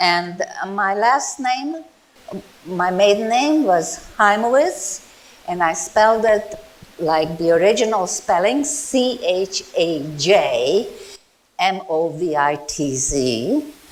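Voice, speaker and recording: The speaker moves at a very slow pace with very wide pitch swings, over noticeable background noise. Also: woman, medium pitch for a woman. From Czechoslovakia/Hungary, emigrated to US as teen. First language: Czech, then Hungarian. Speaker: Holocaust survivor. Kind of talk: testimony. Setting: museum talk with audience, microphone. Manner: loud.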